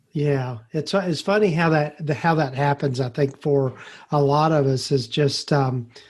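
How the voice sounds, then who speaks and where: A somewhat breathy man with an American accent, fairly high in pitch, ordinary pitch variation, very even loudness and a fairly slow pace against a quiet background. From US South. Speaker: podcast host. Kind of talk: interview. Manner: halting, many fillers.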